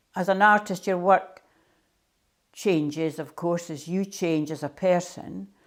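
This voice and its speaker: A woman with a Scottish accent talks at a fairly slow pace in a fairly low voice, her intonation fairly even. Her loudness swings widely on a very clean recording with a silent background. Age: 70s. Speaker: artist. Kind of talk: interview monologue.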